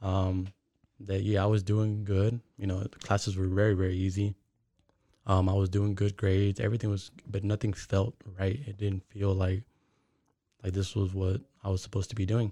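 A man's somewhat breathy, dark, mellow voice at a fairly low pitch, monotone and flat, with long, frequent pauses. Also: moderate pace. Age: 20s. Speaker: forex and crypto trader. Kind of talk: casual interview.

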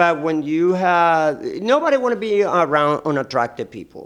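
Over a silent background on a very clean recording, the speaker goes at a fairly slow pace with lively intonation. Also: man. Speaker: nightlife performer. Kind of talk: casual chat. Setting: studio. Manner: halting.

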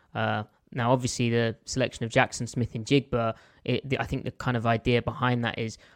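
A man's medium-pitched voice with an English accent, at a fairly quick pace and in a flat monotone, the sound dry and close with no echo against a quiet background. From southern England (London). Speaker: football film analyst. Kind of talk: casual chat.

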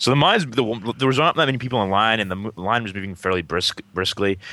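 A man speaks very fast with a Boston accent. His pitch varies in an ordinary way, and there is noticeable background noise. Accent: Boston-area New England. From Massachusetts, near Lowell. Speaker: podcast co-host. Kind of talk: casual chat.

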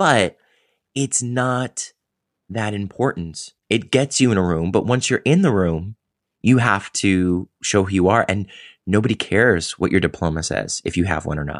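An unremarkable speaking voice, this man's is fairly low in pitch with ordinary pitch variation, delivered at a moderate pace with a dry, close sound with no echo against a quiet background. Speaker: podcast host and stage actor. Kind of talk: casual interview chat.

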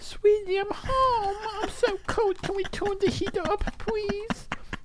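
Someone uses a put-on character voice with extremely high pitch at a fairly slow pace. Background noise is clear. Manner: silly, cutesy.

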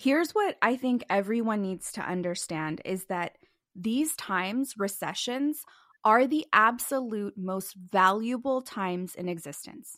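An ordinary speaking voice, a woman at fairly high pitch, with lively intonation, a fairly slow pace, and a very clean recording with a silent background. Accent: American. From Southern California. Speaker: financial educator and author. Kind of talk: interview.

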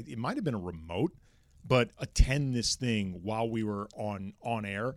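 A man with a plain, everyday voice, moderate pace and ordinary pitch variation. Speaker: sports radio co-host. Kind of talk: casual chat.

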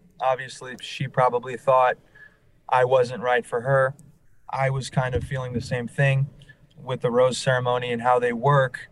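A man with an American accent speaks in a somewhat breathy, medium-pitched voice. His intonation is monotone and flat, and his pace is moderate. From New Orleans, US South. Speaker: reality TV contestant, salesperson. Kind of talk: interview.

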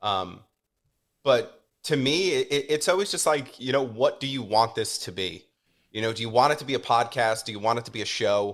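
With lively intonation at a moderate pace, a man speaks at medium pitch in a very clean recording with a silent background. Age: 30s. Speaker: podcast producer. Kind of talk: casual chat. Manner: halting, many fillers.

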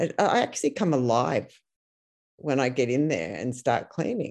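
A woman speaks with a very deep, low pitch and a dark, mellow tone. Her intonation is lively. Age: 60s. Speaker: nurse. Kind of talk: panel discussion.

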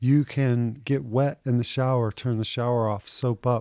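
A dark, mellow tone in a Texan accent at a fairly slow pace, with fairly even intonation and a dry, close sound with no echo on a very clean recording with a silent background. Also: man. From Houston, Texas. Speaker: fishing guide. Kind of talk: interview.

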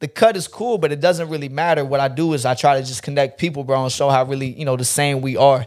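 Talking at a very fast pace with hardly any pauses, a man with an American accent uses a fairly high pitch and ordinary pitch variation. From North Carolina (Fort Bragg area), US. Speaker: barber and internet personality. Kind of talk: casual chat.

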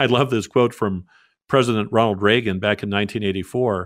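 A plain, everyday voice from a man, fairly low-pitched with ordinary pitch variation, on a very clean recording with a silent background. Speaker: pastor. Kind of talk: radio interview.

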